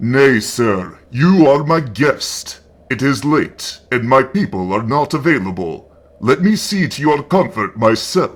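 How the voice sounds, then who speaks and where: Using a put-on character voice, this man talks at a fairly slow pace. His pitch is medium. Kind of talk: gothic horror reading. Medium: read story. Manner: courtly, formal, measured.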